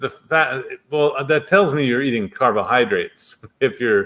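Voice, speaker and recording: With ordinary pitch variation and a moderate speed, a man talks in an ordinary speaking voice. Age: 60s. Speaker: doctor. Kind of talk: interview.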